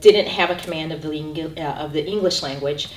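Amid noticeable background noise and audible room echo, a woman with an American accent talks at a fairly low pitch. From US Midwest, Chicago. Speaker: university LGBTQ center director. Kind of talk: interview. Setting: on campus, filmed.

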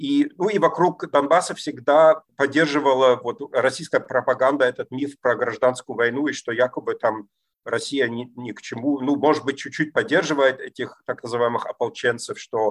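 With a German accent, the speaker moves at a moderate pace with ordinary pitch variation in a dry, close sound with no echo. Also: man, fairly high pitch for a man. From East Germany. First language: German (speaking Russian). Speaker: political scientist. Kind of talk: interview. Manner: halting, many fillers.

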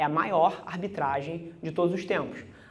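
With audible room echo around him, a man delivers his words at a fairly slow pace. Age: 20s. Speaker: agency CEO. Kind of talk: keynote talk. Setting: stage with audience.

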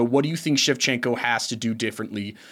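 On a very clean recording with a silent background, a man with an American accent uses an ordinary speaking voice, lively intonation and a fairly quick pace. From Chicago, US Midwest. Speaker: podcast producer and co-host. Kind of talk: casual chat.

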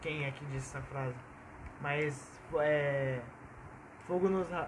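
A man's fairly high pitch with ordinary pitch variation, a fairly slow pace, and audible room echo. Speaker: podcast co-host. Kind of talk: casual chat. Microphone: cheap Samsung earphone mic.

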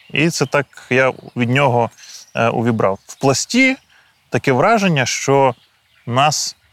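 A man talks very slowly at a medium pitch, with long, frequent pauses and ordinary pitch variation. His loudness swings widely, and the sound is dry and close with no echo. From Ukraine, Kyiv region (Boiarka). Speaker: soldier and political scientist. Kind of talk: interview. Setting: outdoors in a forest trench position.

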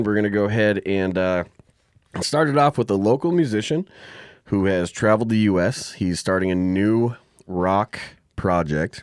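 A man with an American accent talks in an unremarkable speaking voice, fairly low in pitch with ordinary pitch variation, on a very clean recording with a silent background. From Arizona and South Dakota. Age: 30s. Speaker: podcast host and musician. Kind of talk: casual chat; show introduction.

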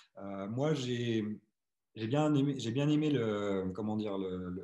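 A man's voice carries a dark, mellow tone. Its pitch is medium. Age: 40s. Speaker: podcast host. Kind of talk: casual interview.

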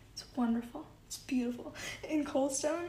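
Set against audible room echo and noticeable background noise, a woman speaks at a high pitch. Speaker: solo podcast host. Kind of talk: casual monologue. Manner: giggly, frequent laughs.

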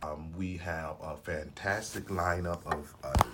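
A man's very deep, low voice in a Memphis accent, flat and monotone, with noticeable background noise. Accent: Southern US (Memphis). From US South (Memphis, Tennessee). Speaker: retired soldier, realtor, elder. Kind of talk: casual interview.

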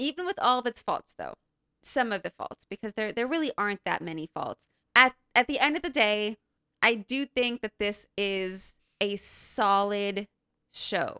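In a very clean recording with a silent background, a woman talks at a fairly slow pace with a fairly high pitch, a bright, sharp tone and a dry, close sound with no echo. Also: lively intonation. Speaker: podcast co-host. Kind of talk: casual chat. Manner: stuttering.

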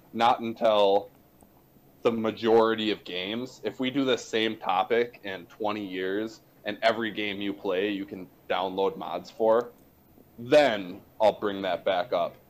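A man talks fairly slowly in a fairly low voice. He has an ordinary speaking voice with fairly even intonation. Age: 20s. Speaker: podcast co-host. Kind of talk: casual chat.

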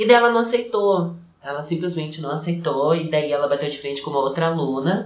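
Audible room echo carries a man's fairly high voice. He talks at a fairly quick pace with ordinary pitch variation. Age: 20s. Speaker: dancer and dance teacher. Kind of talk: casual chat.

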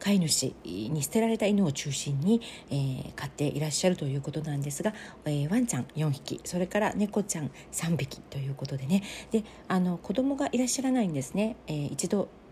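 A woman speaks at a fairly quick pace with a fairly low pitch and very wide pitch swings. Noticeable background noise runs behind her. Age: 40s. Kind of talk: casual solo monologue.

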